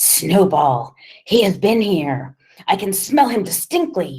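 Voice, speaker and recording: A put-on character voice, booming and at middle pitch, moves at a fairly slow pace with very wide pitch swings. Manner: exclaiming, menacing.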